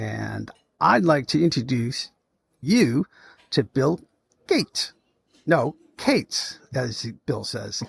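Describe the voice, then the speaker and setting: A man speaks at a very slow pace, with long, frequent pauses. The recording is very clean, with a silent background. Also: dry, close sound with no echo. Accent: American. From Massachusetts (Lawrence). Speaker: podcast host. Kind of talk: casual interview chat. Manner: animated.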